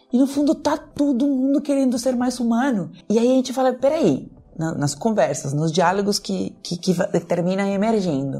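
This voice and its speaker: A woman talks at a moderate pace with a fairly high pitch and very wide pitch swings. Her tone is dark and mellow. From Peru. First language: Spanish (speaking Portuguese). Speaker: dialogue facilitator, emotional intelligence specialist. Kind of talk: podcast conversation.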